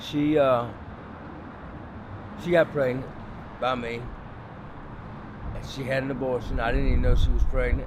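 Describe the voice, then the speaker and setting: Over noticeable background noise, a man with an American accent talks at a moderate pace and medium pitch, with fairly even intonation and long, frequent pauses. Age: 50s. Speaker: homeless man, former prisoner. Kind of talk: documentary interview answer.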